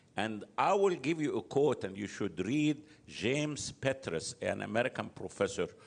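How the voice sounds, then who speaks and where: A man with an Arabic accent speaks at a moderate pace with vocal fry and very wide pitch swings. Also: medium pitch for a man. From Egypt. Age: 70s. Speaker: political analyst. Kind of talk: interview. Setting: live venue.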